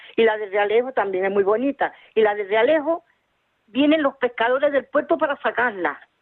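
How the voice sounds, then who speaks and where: A woman with a fairly high pitch speaks at a moderate pace, her intonation lively. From Tenerife, Canary Islands. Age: 60s. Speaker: caller. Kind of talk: phone-in chat. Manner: halting.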